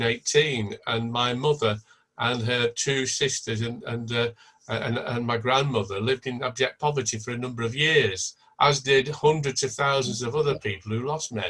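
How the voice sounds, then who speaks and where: Speaking with a Lancashire accent, a man of medium pitch keeps a moderate pace and fairly even intonation. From Blackpool, northern England. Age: 70s. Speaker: event participant. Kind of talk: online panel discussion. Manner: halting.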